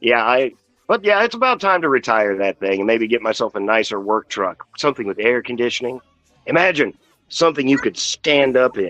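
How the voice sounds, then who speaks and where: A man talks fairly quickly at medium pitch with lively intonation. Music plays in the background, and the sound is dry and close with no echo. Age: 50s. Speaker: auto body painter and toy collector streamer. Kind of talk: casual chat.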